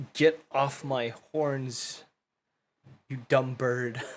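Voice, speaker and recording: A man's growling, put-on character voice at a medium pitch. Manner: growling the words.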